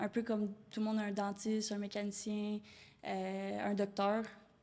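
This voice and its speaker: The speaker has a Quebec accent and a monotone, flat intonation. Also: woman. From Quebec, Rive-Nord of Montreal. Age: 20s. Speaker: door-to-door sales entrepreneur. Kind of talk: podcast interview.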